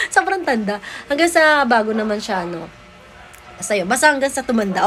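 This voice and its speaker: A woman's very fast, animated speech, fairly high in pitch with lively intonation, amid noticeable background noise. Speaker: vlogger and mother of a child talent. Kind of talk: casual family vlog.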